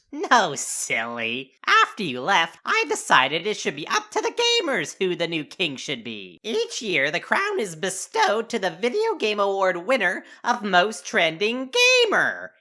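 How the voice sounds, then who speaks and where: A woman's cartoonish character voice at medium pitch, in a very clean recording with a silent background. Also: moderate pace. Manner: light, breezy.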